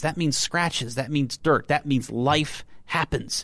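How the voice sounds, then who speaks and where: A man with an American accent speaks in a normal speaking voice, his pitch fairly high and its variation ordinary. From Texas. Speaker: car website editor. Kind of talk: casual chat. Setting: studio.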